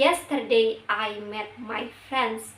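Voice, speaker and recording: With an Indonesian accent, a woman speaks at a fairly high pitch over noticeable background noise. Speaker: university student. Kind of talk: class presentation.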